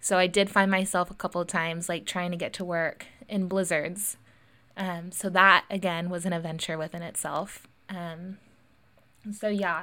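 A woman with an American accent speaks at a fairly low pitch. Her intonation is monotone and flat, on a very clean recording with a silent background. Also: moderate pace. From US West Coast (Lincoln, California). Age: 20s. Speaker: podcast host. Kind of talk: solo personal monologue. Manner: casual, frequent fillers and laughs.

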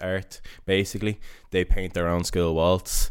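On a very clean recording with a silent background, a man with a Dublin accent speaks at a fairly slow pace in a very deep, low pitch with monotone, flat intonation. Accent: Dublin Irish. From Dublin, Ireland (Coolock, northside). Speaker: barber and artist. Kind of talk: casual interview.

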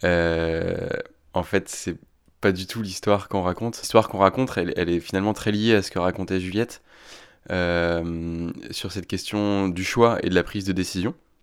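A man's very deep, low voice moves at a moderate pace with fairly even intonation, in a very clean recording over a silent background. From northern France, Picardy. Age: 30s. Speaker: fear specialist. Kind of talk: interview. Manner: halting.

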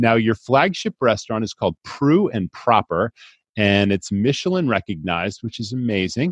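In a dry, close sound with no echo and a quiet background, a man speaks at medium pitch and moderate pace, his tone enthusiastic and animated and his intonation lively. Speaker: podcast host. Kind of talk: interview. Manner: enthusiastic, animated.

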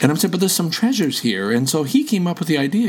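Over noticeable background noise, a man speaks with a Canadian accent. His pitch swings very widely. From Canada. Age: 70s. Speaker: veteran podcaster, retiree. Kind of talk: casual interview chat.

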